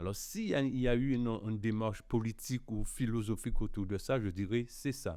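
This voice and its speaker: A man's medium-pitched voice with a dark, mellow tone, fairly quick with hardly any pauses, and ordinary pitch variation. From Guadeloupe. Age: 60s. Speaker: cassava artisan. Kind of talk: podcast interview.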